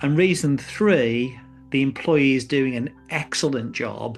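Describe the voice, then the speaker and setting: A man speaks with an English accent at a fairly slow pace, his pitch fairly high for a man with ordinary variation. Music plays in the background. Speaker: business columnist and speaker. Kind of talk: reading aloud. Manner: conversational.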